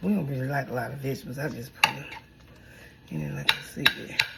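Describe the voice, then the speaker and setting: A woman with a very deep, low pitch talks very fast in an animated tone over noticeable background noise. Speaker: home cook vlogger. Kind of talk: casual cooking vlog.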